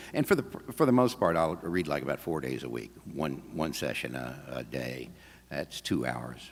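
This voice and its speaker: A man speaks at a moderate pace in a very deep, low voice with vocal fry and ordinary pitch variation. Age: 70s. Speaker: audiobook narrator. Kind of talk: talk at a convention, then Q&A. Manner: halting, many fillers and restarts.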